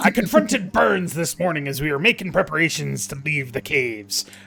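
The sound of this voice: A man puts on a character voice at a fairly high pitch. He talks at a fairly quick pace over light background noise.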